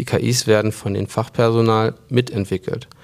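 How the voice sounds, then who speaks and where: With flat, monotone intonation, a man talks at medium pitch and moderate speed. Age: 20s. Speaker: company co-CEO. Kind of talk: interview conversation.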